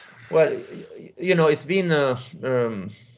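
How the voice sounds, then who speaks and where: A man speaks with an Italian accent at a fairly slow pace. The background is quiet. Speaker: powerlifting coach and podcast host. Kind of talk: interview; narrated summary to audience.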